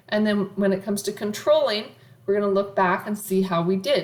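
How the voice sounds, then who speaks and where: A woman speaks at a medium pitch, with audible echo from the room. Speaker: college accounting professor. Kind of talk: lecture.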